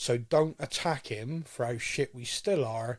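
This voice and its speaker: A somewhat breathy voice with a rural English accent, at a fairly slow pace, on a very clean recording with a silent background. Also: man. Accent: rural English, farmer-like. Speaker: football podcast host. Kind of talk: casual podcast discussion.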